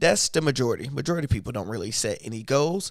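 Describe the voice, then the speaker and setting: Over a very clean, silent background, a man speaks with vocal fry and lively intonation. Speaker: YouTuber and motivational speaker. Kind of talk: live stream talk. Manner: uneven pitch.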